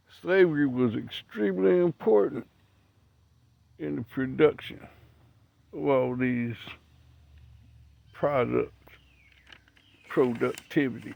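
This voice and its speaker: A man with a Missouri accent, very slow and lively in intonation, with long, frequent pauses. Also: medium pitch for a man. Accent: Midwestern US (Missouri). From Missouri, Franklin County. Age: 60s. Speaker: video blogger. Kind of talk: casual monologue. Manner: conversational, rhetorical questions.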